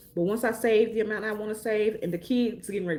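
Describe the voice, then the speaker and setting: A woman with a Mississippi accent talks at a very fast pace and a fairly high pitch, with ordinary pitch variation and noticeable background noise. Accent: Southern US, Mississippi. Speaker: lifestyle and travel vlogger. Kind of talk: casual chat.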